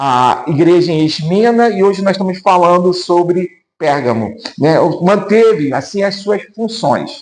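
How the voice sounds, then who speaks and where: A man with a high pitch and lively intonation, at a fairly slow pace and very even loudness. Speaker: pastor. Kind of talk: Sunday school Bible lesson.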